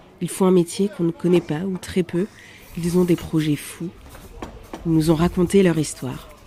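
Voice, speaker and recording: Amid noticeable background noise, a woman with a fairly low voice talks at a moderate pace, her intonation fairly even and her pauses long and frequent. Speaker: podcast host. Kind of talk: podcast intro narration.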